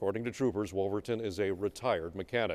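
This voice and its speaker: In a normal speaking voice, a man with an American accent talks at a fairly quick pace and a fairly low pitch, on a very clean recording with a silent background. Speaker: TV news anchor. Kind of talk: TV news anchor reading.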